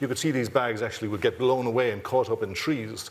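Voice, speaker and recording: A man talks at a fairly quick pace with an Irish accent. Noticeable background noise runs behind him. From Ireland, Dublin. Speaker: university president. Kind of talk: closing remarks at a symposium. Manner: halting, many fillers and repeats.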